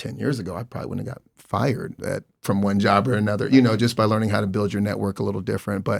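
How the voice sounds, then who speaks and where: In a very clean recording with a silent background, a man with a plain, everyday voice speaks at a fairly quick pace in a fairly low pitch with fairly even intonation. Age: 40s. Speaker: entrepreneur, event organizer. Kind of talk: panel discussion.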